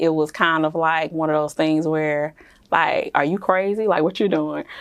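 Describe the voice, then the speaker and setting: A woman with an American accent speaks at a moderate pace and fairly low pitch, her intonation monotone and flat, against a quiet background. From US South, Jackson, Mississippi. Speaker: business founder. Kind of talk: interview.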